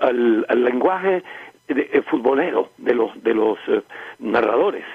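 A man at a fairly slow pace, dry sound with no echo, against a quiet background. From Barranquilla, Colombia. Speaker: radio announcer, journalist and writer. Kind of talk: interview answer. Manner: conversational, reflective, hesitant with repeated words. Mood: warm, nostalgic, smiling. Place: home room.

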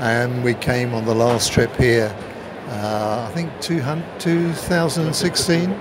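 The speech moves at a very slow pace with long, frequent pauses over noticeable background noise. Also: man. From England. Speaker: retired cricketer. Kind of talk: interview answer. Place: stadium. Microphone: phone near.

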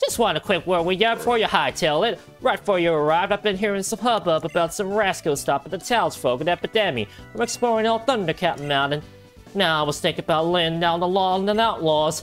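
A gravelly, put-on character voice rattles along at a very fast pace in a Southern accent. Clear music plays in the background. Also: female-sounding voice, fairly low pitch for a woman.

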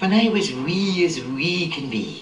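Someone with an Edinburgh accent speaks with very wide swings in pitch. Light background noise and audible room echo are present. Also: woman. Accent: Edinburgh Scottish. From Edinburgh, Scotland. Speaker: poet. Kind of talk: poetry reading. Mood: playful, warm.

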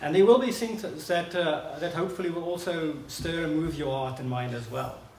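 Speech comes at a moderate pace over light background noise, with audible room echo. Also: man. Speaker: visiting preacher. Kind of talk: sermon. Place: hall. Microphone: podium.

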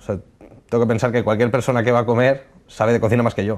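A man rattles along at a very fast pace. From Alicante, Spain. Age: 20s. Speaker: chef. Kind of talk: casual interview. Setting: studio. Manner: halting, with many fillers. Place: studio. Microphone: lapel.

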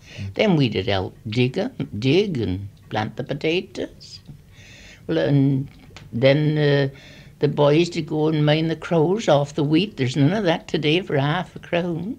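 A woman with a very deep, low voice speaks fairly slowly in a Gloucestershire accent, her intonation lively. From Gloucestershire, England. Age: 80s+. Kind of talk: reminiscence.

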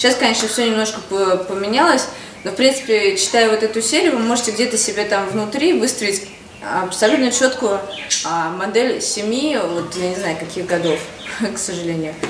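The speaker talks at a moderate pace with ordinary pitch variation, and noticeable background noise is heard behind the voice. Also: woman. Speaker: mother vlogger. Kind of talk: casual vlog. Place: home room. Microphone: camera far.

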